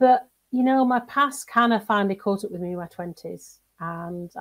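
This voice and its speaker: A woman with a northern English accent. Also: very clean recording, silent background. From northern England, seaside town. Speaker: executive coach and mentor. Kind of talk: interview.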